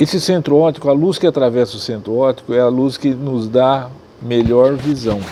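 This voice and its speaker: The man's tone is dark and mellow, at a medium pitch. He keeps a moderate pace with ordinary pitch variation. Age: 70s. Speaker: ophthalmologist. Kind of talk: interview.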